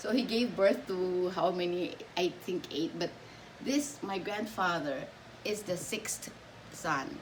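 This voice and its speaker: A woman with a medium pitch speaks at a very slow pace with lively intonation and long, frequent pauses, her voice carrying audible room echo over noticeable background noise. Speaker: subscriber sharing family history. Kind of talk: casual chat.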